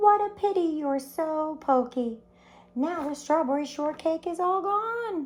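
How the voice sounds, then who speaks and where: A squeaky put-on character voice speaks at a fairly slow pace. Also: woman, extremely high pitch for a woman. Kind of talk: read-aloud to children. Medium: read story.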